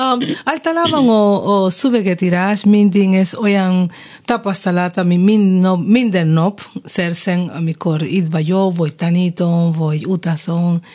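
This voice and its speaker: Talking at a fairly slow pace with a Spanish accent, a woman has a dark, mellow tone, medium pitch and ordinary pitch variation. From Cuba. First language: Spanish (speaking Hungarian). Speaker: jazz singer. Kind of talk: radio interview. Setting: studio. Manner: animated.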